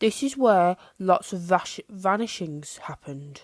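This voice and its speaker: In a put-on character voice at medium pitch, a woman speaks at a fairly slow pace on a very clean recording with a silent background. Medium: read story. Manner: soft, hushed.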